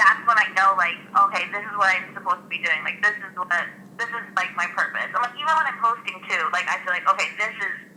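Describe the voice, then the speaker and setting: Over noticeable background noise, a woman with an American accent talks very fast at a medium pitch, with ordinary pitch variation and big swings in loudness. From US. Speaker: host and aspiring actress. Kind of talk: interview. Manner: loud, outgoing; talkative, fast.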